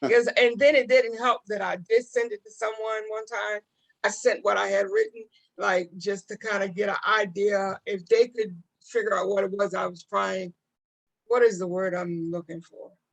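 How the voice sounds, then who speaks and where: A woman's normal speaking voice, medium in pitch, with fairly even intonation and a dry, close sound with no echo. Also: moderate pace. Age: 60s. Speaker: talk show host. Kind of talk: casual interview chat.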